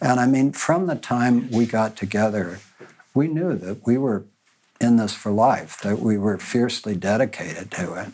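Lively intonation at a moderate pace in an ordinary speaking voice. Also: man, medium pitch for a man. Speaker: panelist. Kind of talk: panel discussion.

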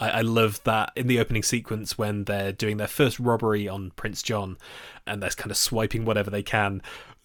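A man speaks fairly quickly in a fairly low pitch with monotone, flat intonation. The recording is very clean, with a silent background. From England, Nottingham. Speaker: film journalist, podcast host. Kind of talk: casual chat.

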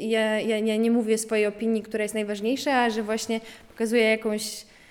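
A woman's fairly high voice at a fairly quick pace, in a flat monotone. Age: 20s. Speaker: art student, sculptor. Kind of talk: interview. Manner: halting.

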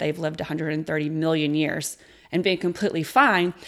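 Recorded very cleanly against a silent background, a woman speaks at a moderate pace in a fairly low pitch. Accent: Texan. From rural West Texas. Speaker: beekeeper. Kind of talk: interview.

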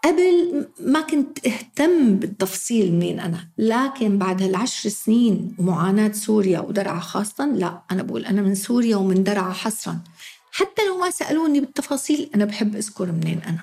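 A woman speaks with a fairly high pitch. Her voice swings very widely up and down. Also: moderate pace, hardly any pauses. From Syria, Daraa. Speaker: teacher. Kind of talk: interview.

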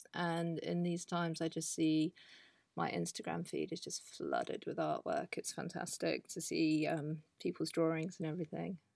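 In a very clean recording with a silent background, a woman with a southern English accent speaks at a moderate pace. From southern England. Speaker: artist. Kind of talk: casual interview. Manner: halting.

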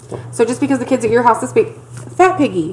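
Very fast speech from a woman against noticeable background noise. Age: 30s. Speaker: podcast co-host. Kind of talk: casual chat.

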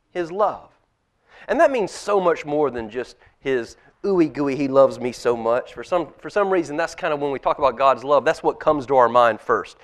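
A man's fairly high voice at a moderate pace, with ordinary pitch variation and a plain, everyday voice. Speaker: pastor. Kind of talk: children's sermon. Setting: church. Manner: warm, conversational with kids.

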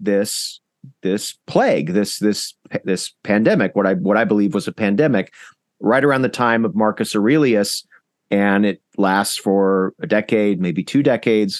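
A man with an American accent has an unremarkable speaking voice. He talks at a moderate pace with lively intonation. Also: dry, close sound with no echo, quiet background. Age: 40s. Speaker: historian. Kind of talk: interview.

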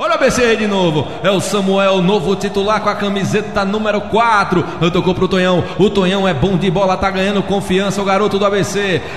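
A man with a high pitch speaks with hardly any pauses and very even loudness. Noticeable background noise is present. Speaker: radio sports commentator. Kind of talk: live radio football commentary. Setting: radio broadcast from stadium. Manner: animated, excitable, fast play-by-play with playful quips.

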